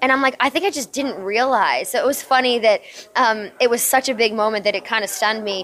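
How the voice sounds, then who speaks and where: Speaking at a very fast pace, a woman uses a high pitch with ordinary pitch variation and an American accent. Noticeable background noise is present. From US, New Jersey. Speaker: professional wrestler. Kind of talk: interview. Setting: WrestleMania media day.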